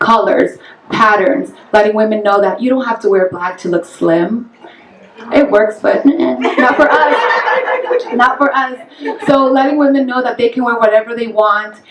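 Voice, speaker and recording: Over noticeable background noise, a woman with a Spanish accent talks at a moderate pace in a fairly high voice with ordinary pitch variation. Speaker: fashion stylist and model. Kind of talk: panel discussion.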